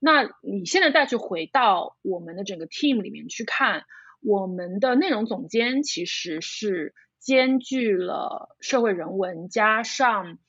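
The voice moves at a very slow pace, with very wide pitch swings and big swings in loudness. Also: woman, fairly high pitch for a woman. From Shanghai, China. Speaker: video brand founder. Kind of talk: casual interview. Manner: halting with fillers.

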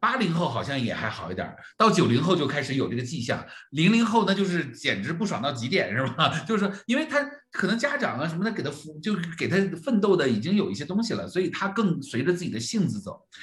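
The man's high voice rushes at a very fast pace, his pitch swinging very widely. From Northeast China (Jilin). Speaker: coach trainer and podcast host. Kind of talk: livestreamed co-hosted discussion of a report. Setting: livestream with online audience. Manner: fillers and repetitions.

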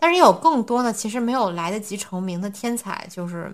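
A woman talks at a moderate pace in an ordinary speaking voice, her pitch medium with ordinary variation. The recording is very clean, with a silent background. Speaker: podcast host. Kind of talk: casual chat.

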